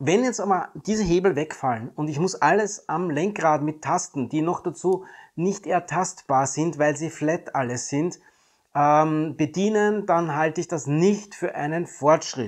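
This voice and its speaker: At a fairly slow pace, a man speaks in a normal speaking voice with a fairly high pitch and ordinary pitch variation against a quiet background. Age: 50s. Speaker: YouTuber reviewing electric cars. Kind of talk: video monologue commentary. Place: home room.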